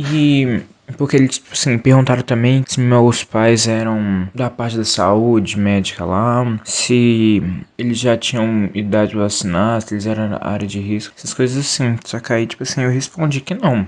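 Noticeable background noise sits behind a man's voice. He speaks at a moderate pace with a medium pitch and ordinary pitch variation. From Belo Horizonte, Brazil. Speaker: podcast co-host. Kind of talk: casual personal story.

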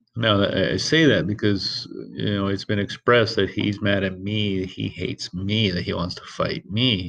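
With an unremarkable speaking voice, a man with a fairly low pitch and ordinary pitch variation speaks at a moderate pace with hardly any pauses against a quiet background. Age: 30s. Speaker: podcast host, single father. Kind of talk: casual monologue. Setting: alone at work.

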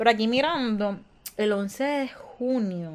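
This woman speaks in a fairly high pitch with ordinary pitch variation. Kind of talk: casual chat.

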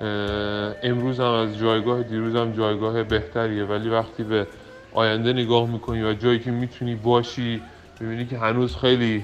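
Monotone, flat intonation at a moderate pace over noticeable background noise. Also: man, medium pitch for a man. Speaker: startup co-founder. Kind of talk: interview.

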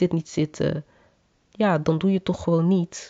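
She has an unremarkable speaking voice. Her pitch sits fairly low, and she keeps a moderate pace. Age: 20s. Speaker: podcast host. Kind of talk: personal monologue. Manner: casual.

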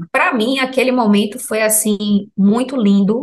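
Speaking at a fairly slow pace, a woman has a plain, everyday voice with ordinary pitch variation. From Salvador, Bahia, Brazil. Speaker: health professional sharing ayahuasca experience. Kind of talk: personal testimony in interview.

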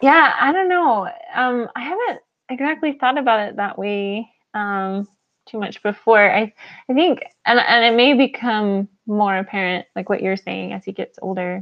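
In an American accent, a woman with an unremarkable speaking voice talks at a moderate pace, her fairly high pitch carried by lively intonation. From New Mexico. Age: 30s. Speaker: former missionary and mother. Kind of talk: casual chat.

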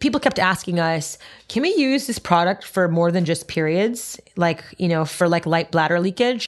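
A woman speaks at a moderate pace with a fairly low pitch. Her loudness stays very even while her intonation is lively. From Montreal, Canada. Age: 30s. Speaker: entrepreneur. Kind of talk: interview. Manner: animated.

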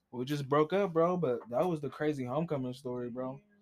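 A plain, everyday voice from a man with an American accent, at a fairly quick pace. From Columbus, Ohio, US Midwest. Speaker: DJ and entertainment business owner. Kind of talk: casual chat.

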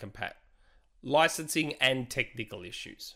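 A man's bright, sharp tone at a moderate pace with ordinary pitch variation, on a very clean recording with a silent background. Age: 40s. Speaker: video game podcast co-host. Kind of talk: casual chat.

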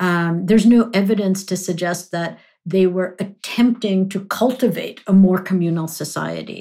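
The voice has a dark, mellow tone and is somewhat breathy, moving at a moderate pace with fairly even intonation and hardly any pauses. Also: woman, medium pitch for a woman. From grew up in London and New York, Punjabi-speaking household. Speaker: history professor. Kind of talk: academic interview. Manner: hesitant fillers, self-repeating.

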